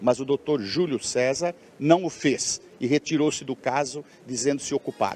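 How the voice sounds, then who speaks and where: In a normal speaking voice, a man talks at medium pitch with ordinary pitch variation. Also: dry, close sound with no echo. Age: 60s. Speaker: doctor acquitted in murder trial. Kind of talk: live TV interview.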